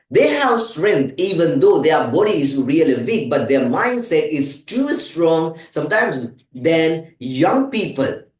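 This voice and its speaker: A man's fairly high voice with very wide pitch swings, a fairly slow pace and hardly any pauses, in audible room echo. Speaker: English teacher. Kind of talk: tutorial.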